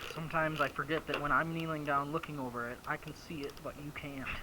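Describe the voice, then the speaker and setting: A quiet, mumbling man at a fairly quick pace, fairly high in pitch with ordinary pitch variation, over noticeable background noise. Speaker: small engine repair mechanic. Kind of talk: repair tutorial. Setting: workshop. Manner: mumbling, quiet; casual, thinking aloud. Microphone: chest-mounted camera, often too quiet.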